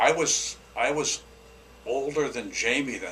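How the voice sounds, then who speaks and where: Medium-pitched male voice with ordinary pitch variation amid noticeable background noise. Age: 70s. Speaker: softball coach, retired Marine. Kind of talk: interview.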